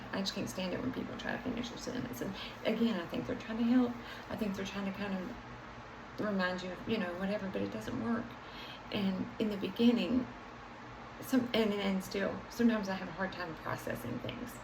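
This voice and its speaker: Over noticeable background noise and audible room echo, the speaker talks at a fairly quick pace with ordinary pitch variation. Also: woman, medium pitch for a woman. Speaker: vlogger sharing life with MS. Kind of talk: personal vlog monologue. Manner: halting, word-searching.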